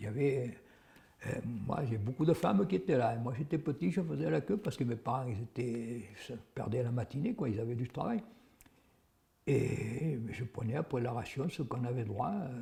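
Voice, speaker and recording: The voice has a dark, mellow tone, somewhat breathy, with lively intonation. It moves at a moderate pace but with long, frequent pauses. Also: man, medium pitch for a man. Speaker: WWII witness. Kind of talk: testimony. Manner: halting.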